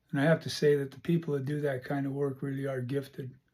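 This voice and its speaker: At a moderate pace, a man speaks with monotone, flat intonation at a fairly high pitch, somewhat breathy, on a very clean recording with a silent background. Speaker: podcast host. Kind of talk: casual monologue. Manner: halting.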